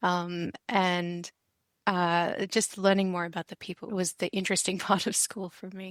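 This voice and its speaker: A woman speaks with an Australian accent in a flat, monotone delivery at a moderate pace, her loudness swinging widely. The sound is dry and close with no echo, on a very clean recording over a silent background. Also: medium pitch for a woman. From Adelaide, Australia. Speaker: university librarian. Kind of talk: casual interview.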